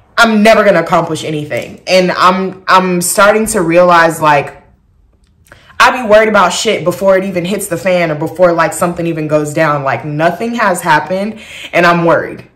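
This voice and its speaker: In a room with audible echo, a woman speaks in an animated tone at a fairly low pitch. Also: ordinary pitch variation, moderate pace. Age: 20s. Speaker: vlogger. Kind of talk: casual chat.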